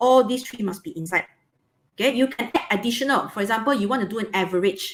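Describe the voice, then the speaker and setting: Talking at a very fast pace, a woman with a fairly high pitch uses lively intonation. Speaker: biology teacher. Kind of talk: online lesson.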